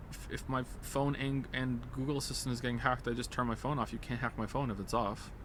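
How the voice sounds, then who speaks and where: Talking very fast with hardly any pauses, a man at medium pitch is heard over noticeable background noise. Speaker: video game streamer. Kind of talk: live stream commentary while gaming. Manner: animated, stammering with repeated words.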